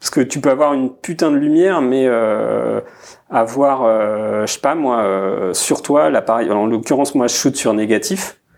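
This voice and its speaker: A man speaks at a fairly slow pace in a normal speaking voice. His pitch is medium, with ordinary variation. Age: 30s. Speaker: product designer. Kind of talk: casual chat.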